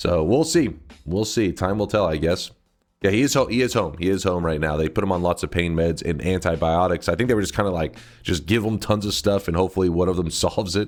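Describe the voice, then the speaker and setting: In a very clean recording with a silent background, a man with a very deep, low pitch talks at a very fast pace, with ordinary pitch variation and very even loudness. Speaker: video game streamer. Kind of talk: casual live-stream chat. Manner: animated.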